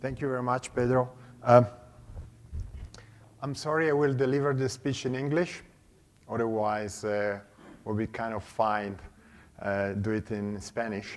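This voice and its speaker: A man with a medium-pitched voice talks at a moderate pace with ordinary pitch variation, stopping often for long pauses. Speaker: conference speaker, consultant. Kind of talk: conference talk. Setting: stage with audience. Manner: hesitant with fillers.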